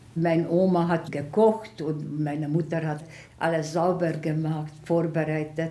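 Amid audible room echo, a woman with a very deep, low pitch and a dark, mellow tone speaks at a fairly slow pace in a monotone, flat intonation. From Hungary, Budapest. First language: Hungarian (speaking German). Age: 90s. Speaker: Holocaust survivor. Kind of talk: interview testimony. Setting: at home.

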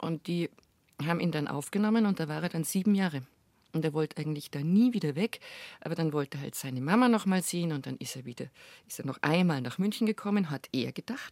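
In a very clean recording with a silent background and a dry, close sound with no echo, a woman with a fairly low pitch talks very fast with lively intonation. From Bavaria, Munich. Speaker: chanson singer and actress. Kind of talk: interview conversation.

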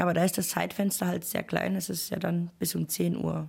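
Speech comes at a fairly quick pace from a woman. The recording is very clean, with a silent background. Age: 30s. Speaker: single mother, cleaner. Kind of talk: interview testimony.

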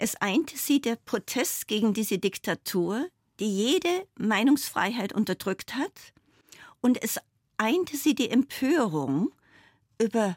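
A woman's fairly high voice with very wide pitch swings at a fairly slow pace, dry and close with no echo, in a very clean recording with a silent background. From Bavaria, Bavarian Forest. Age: 70s. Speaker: foundation chair and former state politician. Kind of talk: radio interview.

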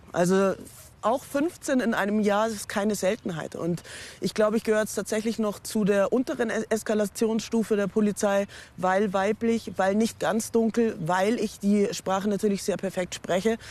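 Her voice is a plain, everyday voice, pitched at a medium level. This woman keeps a moderate pace and fairly even intonation. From Munich, Bavaria. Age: 40s. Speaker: teacher. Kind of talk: interview testimony. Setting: outdoors.

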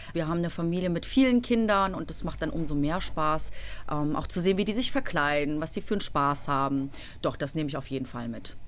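A woman speaks at a fairly quick pace. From Cologne, Germany. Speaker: schlager singer. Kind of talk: radio interview. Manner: energetic.

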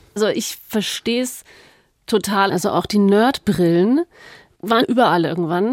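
Recorded dry and close with no echo against a silent background, a woman talks at a moderate pace in a medium pitch with ordinary pitch variation. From Allgäu, Bavaria. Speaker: radio host. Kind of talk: casual chat. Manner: animated.

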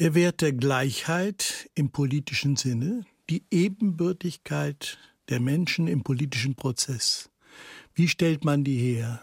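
Recorded very cleanly, dry and close with a silent background and no echo, a man speaks very slowly and somewhat breathily. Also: fairly high pitch for a man, lively intonation. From Netherlands, then Germany from age six. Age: 70s. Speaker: writer and political essayist. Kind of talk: radio interview.

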